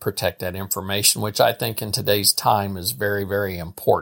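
The speaker has a Midwestern American accent. The recording is very clean, with a silent background. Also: man. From Missouri, St. Joseph. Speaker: state legislator. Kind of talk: interview. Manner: halting.

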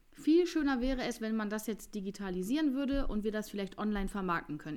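A woman speaks at a very fast pace with a fairly high pitch. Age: 30s. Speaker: nail designer and beauty studio owner. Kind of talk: casual chat.

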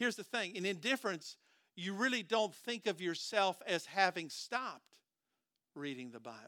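A man with an American accent, high-pitched for a man, in a bright, sharp tone with lively intonation, at a moderate pace, his voice raised and projected with big swings in loudness, over a very clean recording and silent background. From US Midwest, southern Minnesota. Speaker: pastor. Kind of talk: sermon.

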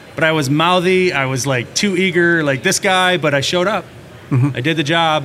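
With an American accent, a man speaks at a fairly quick pace with very even loudness and ordinary pitch variation, over noticeable background noise. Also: fairly high pitch for a man. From Minnesota. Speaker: plumbing and heating contractor. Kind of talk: casual interview.

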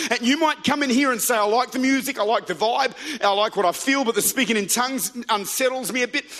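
Over noticeable background noise, a man with an Australian accent talks very fast in an extremely high, raised and projected voice with an animated tone. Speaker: pastor. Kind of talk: sermon. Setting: church. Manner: animated, rousing preacher in full flow, building momentum with call-and-response; fervent, urgent, punchy repetition.

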